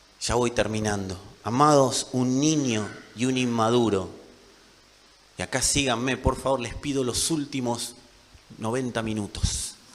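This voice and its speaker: A man with a Rioplatense accent speaks at a fairly slow pace with fairly even intonation and long, frequent pauses, in audible room echo. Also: medium pitch for a man. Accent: Argentine Rioplatense Spanish. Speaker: pastor. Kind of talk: sermon.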